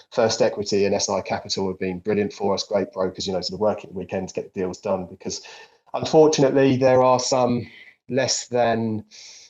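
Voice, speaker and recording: Delivered at a fairly quick pace, the speech has ordinary pitch variation and a British accent. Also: man, medium pitch for a man. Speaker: company CEO hosting investor Q&A. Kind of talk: live investor Q&A. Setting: online audio chat room.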